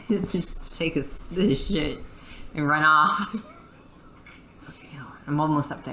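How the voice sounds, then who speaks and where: A woman with an American accent speaks at a very slow pace in a very deep, low voice, with fairly even intonation, big swings in loudness, and long, frequent pauses. Noticeable background noise and audible room echo fill the recording. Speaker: gamer. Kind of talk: casual chat. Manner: halting.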